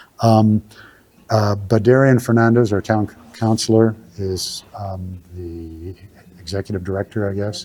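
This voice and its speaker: Big swings in loudness cut across a dark, mellow tone, with intonation kept fairly even. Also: man, fairly low pitch for a man, fairly slow pace. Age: 70s. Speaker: general contractor giving a talk on maple syrup. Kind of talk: talk Q&A with audience. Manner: halting, many fillers.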